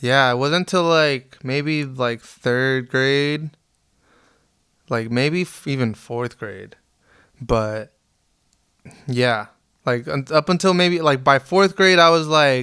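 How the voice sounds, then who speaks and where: Speaking very slowly with long, frequent pauses, a man with a Spanish accent has a fairly high, bright and sharp voice with ordinary pitch variation. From Las Vegas, US, Mexican immigrant parents. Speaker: reggae keyboard player and producer. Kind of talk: podcast interview. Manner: casual, halting with many fillers.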